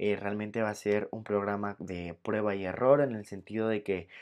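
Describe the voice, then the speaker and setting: At a moderate pace, a man with an unremarkable speaking voice talks in a fairly low pitch. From Venezuela. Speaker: entertainment podcast host. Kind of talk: casual podcast monologue.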